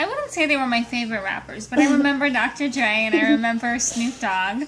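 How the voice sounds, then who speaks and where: A woman with a high-pitched voice keeps a moderate pace amid noticeable background noise. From Brazil, moved to US at age nine. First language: Portuguese. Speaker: accountant interviewed by niece. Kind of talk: casual interview.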